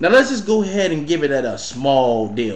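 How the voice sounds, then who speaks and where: A man's fairly high voice with very wide pitch swings, audible room echo and noticeable background noise. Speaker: entrepreneur and business coach. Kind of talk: casual vlog monologue.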